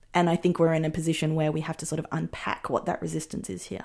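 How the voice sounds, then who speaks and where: In a very clean recording with a silent background, a woman with an Australian accent speaks in a fairly low, dark, mellow voice with ordinary pitch variation. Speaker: filmmaker. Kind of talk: interview.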